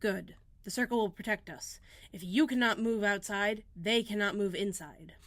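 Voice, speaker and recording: A woman does a put-on character voice with a raspy sound. Her pitch is medium and her pace moderate. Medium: read story.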